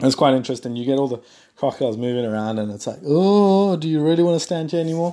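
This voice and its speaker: On a very clean recording with a silent background, a man speaks at a very fast pace. His tone is dark and mellow, his intonation lively. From South Africa. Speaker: podcast host. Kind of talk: casual solo monologue. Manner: rambling with fillers.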